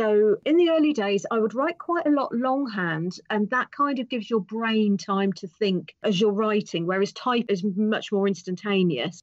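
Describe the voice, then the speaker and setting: This woman's voice sits fairly high and moves with lively intonation. She keeps a moderate pace with hardly any pauses. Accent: British. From England. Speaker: author. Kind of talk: interview answer.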